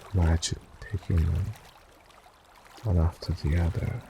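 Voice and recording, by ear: The voice has a dark, mellow tone with a husky, rough edge and vocal fry. It moves at a slow pace with a soothing, calm tone. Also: man.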